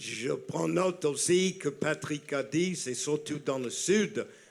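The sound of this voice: Slowly and with lively intonation, a man with a fairly high pitch, vocal fry and a New York accent speaks. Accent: New York American.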